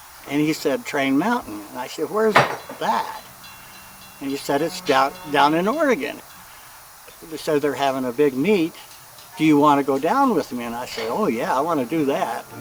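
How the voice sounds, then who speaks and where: Amid noticeable background noise, a man speaks with lively intonation and long, frequent pauses. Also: fairly high pitch for a man, moderate pace. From US Pacific Northwest, Seattle. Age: 70s. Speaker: mechanic and model train hobbyist. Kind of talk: interview testimony, casual storytelling.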